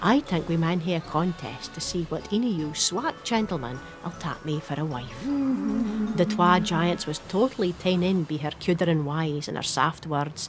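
Music plays in the background as a woman speaks with a Shetland accent. Her pitch is fairly low, her intonation lively, and her pace moderate. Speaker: storyteller narrator. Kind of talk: storytelling narration.

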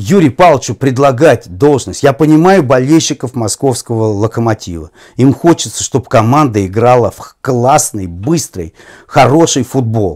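A man at a moderate pace with lively intonation, against a quiet background. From Russia. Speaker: football commentator. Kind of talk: interview conversation. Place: home room. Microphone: lapel.

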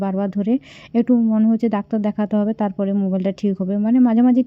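Her pitch sits fairly high. This woman speaks in a flat, monotone way. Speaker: family vlogger. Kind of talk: vlog narration.

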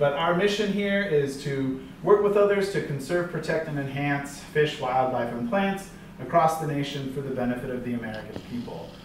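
A man speaks at a moderate pace with ordinary pitch variation, with audible room echo and light background noise. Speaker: presenter. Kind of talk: lecture. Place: classroom. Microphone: camera far.

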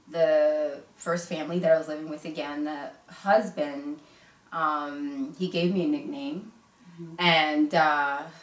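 A woman's very deep, low voice at a very slow pace, with fairly even intonation and audible room echo. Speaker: interview guest sharing her life story. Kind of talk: casual interview. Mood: reflective, personal story. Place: home room.

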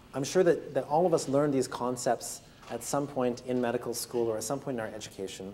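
A man speaks at a very fast pace in a dark, mellow tone. There is light background noise. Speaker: lecturer. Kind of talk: lecture. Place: classroom. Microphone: lapel.

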